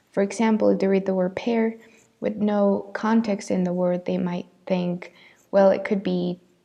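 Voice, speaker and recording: A woman's medium-pitched voice in a Spanish accent, at a moderate pace with monotone, flat intonation. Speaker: student. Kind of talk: class presentation.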